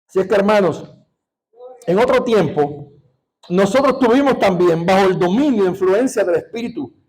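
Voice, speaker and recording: Lively intonation marks this man's high-pitched voice at a moderate pace. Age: 60s. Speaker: pastor. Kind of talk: sermon. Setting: church. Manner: animated.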